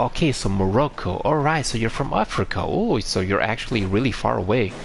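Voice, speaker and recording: Speaking with a Romanian accent, a man uses lively intonation, a relaxed tone and medium pitch at a moderate pace amid noticeable background noise. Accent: Eastern European (Romanian), noticeable. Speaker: video game streamer. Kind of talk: live gameplay stream chat. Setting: live stream, talking to chat. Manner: halting, frequent fillers and restarts; relaxed, chill.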